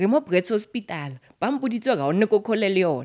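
The speech moves at a fairly quick pace on a very clean recording with a silent background. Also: woman. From South Africa. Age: 30s. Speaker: author. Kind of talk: interview.

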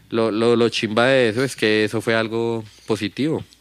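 A man talks at a medium pitch and a fairly slow pace. His intonation is monotone and flat. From Bogotá, Colombia (Kennedy). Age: 30s. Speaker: rapper. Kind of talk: casual chat.

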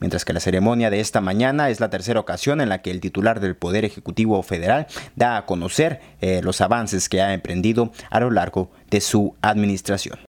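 A man's fairly low-pitched voice, moderate in pace, with ordinary pitch variation. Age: 20s. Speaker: podcast news host. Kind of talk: news reading. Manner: halting.

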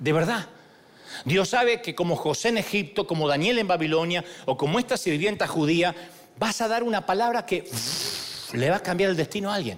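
This man has a high pitch and an animated tone, with lively intonation. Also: moderate pace. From Argentina. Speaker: pastor. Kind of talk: sermon. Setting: church.

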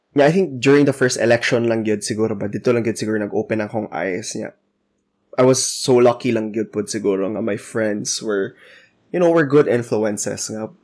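A man with a Visayan Filipino accent speaks fairly quickly at medium pitch, with ordinary pitch variation. The recording is very clean, with a silent background. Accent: Filipino (Cebuano) English. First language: Cebuano. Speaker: podcast co-host. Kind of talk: casual chat.

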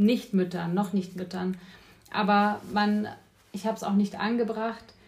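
A woman with an ordinary speaking voice talks at a fairly quick pace and medium pitch, her intonation fairly even. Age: 30s. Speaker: life coach. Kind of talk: casual chat. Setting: kitchen.

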